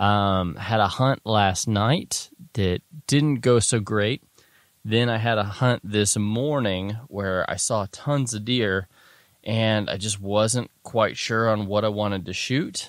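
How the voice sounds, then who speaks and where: Speaking very slowly at a fairly low pitch, a man uses ordinary pitch variation, and the sound is dry with no echo against a quiet background. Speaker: podcast host. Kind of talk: casual podcast monologue. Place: open country.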